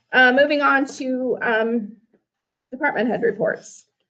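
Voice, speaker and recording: A woman speaks with a fairly high pitch. Her voice has vocal fry. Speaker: meeting chair. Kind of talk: council meeting chairing. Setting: city council meeting.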